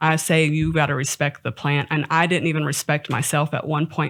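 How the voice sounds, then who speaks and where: A woman with an American accent and a fairly low pitch. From Texas. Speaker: cannabis entrepreneur. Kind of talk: interview. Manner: loud; animated.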